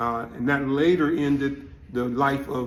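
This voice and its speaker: The man's intonation stays fairly even, and audible room echo surrounds his voice. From Louisiana. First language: Louisiana French Creole. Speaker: community elder interviewee. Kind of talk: interview testimony. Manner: halting with many fillers.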